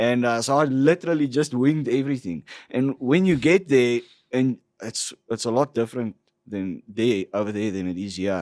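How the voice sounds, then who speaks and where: Lively intonation and a South African accent come through at a moderate pace in a very clean recording with a silent background and a dry, close sound with no echo. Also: man, medium pitch for a man. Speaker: entrepreneur. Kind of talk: casual chat. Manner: animated.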